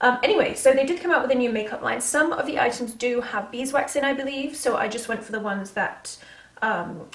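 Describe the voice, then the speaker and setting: A woman with an American accent speaks in a high voice at a fairly quick pace. Noticeable background noise is present. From England. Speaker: beauty vlogger. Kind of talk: casual makeup tutorial talk to camera.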